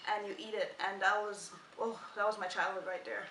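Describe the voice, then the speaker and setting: Medium-pitched female voice at a moderate pace, with audible room echo and noticeable background noise. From Guyana, West Coast countryside. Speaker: vlogger. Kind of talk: casual chat.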